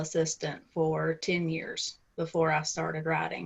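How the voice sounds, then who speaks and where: A woman with a strong Southern US accent speaks at a moderate pace with a fairly low pitch. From US South, Middle Tennessee. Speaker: romance author and editor. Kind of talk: interview.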